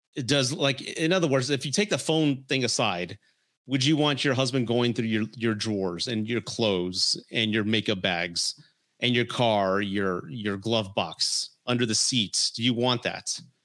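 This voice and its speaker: Here is a man with an ordinary speaking voice at medium pitch and ordinary pitch variation. The recording is very clean, with a silent background. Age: 40s. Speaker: relationship podcast host and livestreamer. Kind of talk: livestream commentary and advice talk. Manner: casual, conversational.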